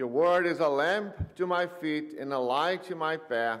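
A man talks at a fairly slow pace. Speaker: pastor leading worship. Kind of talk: service welcome and liturgy. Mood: warm, welcoming. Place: church.

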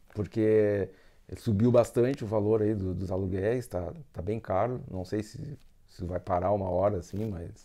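Fairly low, dark and mellow, a man's voice at a moderate pace with ordinary pitch variation against a quiet background. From Brazil, Rio Grande do Sul (Rio Grande). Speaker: engineer and student immigrant. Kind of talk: interview. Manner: halting.

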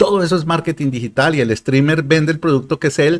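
A man speaks at a very fast pace. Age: 50s. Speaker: digital marketing consultant and YouTuber; YouTuber. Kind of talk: livestream sales talk. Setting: live stream.

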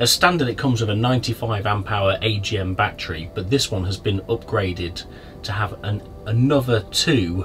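A man at a moderate pace, fairly low in pitch with ordinary pitch variation, over faint music in the background. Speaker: van reviewer. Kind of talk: van tour commentary.

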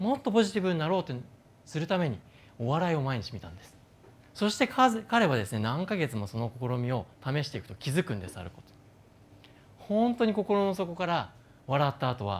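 A man talks at a fairly quick pace with a fairly high pitch. His pitch swings very widely and his loudness shifts a lot. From Japan. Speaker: neuroscientist and company founder; speaker. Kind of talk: stage talk. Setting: stage with audience. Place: stage. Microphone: lapel.

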